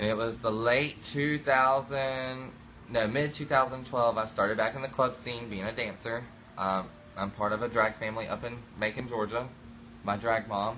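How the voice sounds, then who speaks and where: Bright and sharp in tone, a man speaks at a medium pitch. His pace is moderate and his intonation fairly even. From US South, rural Florida (Okeechobee). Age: 20s. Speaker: reality show cast member. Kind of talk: interview. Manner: hesitant, many fillers.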